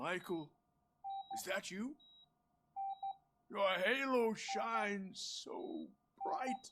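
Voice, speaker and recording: In a put-on character voice, a man talks very slowly in a high, raspy pitch with lively intonation and long, frequent pauses. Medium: video game. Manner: soft, fatherly.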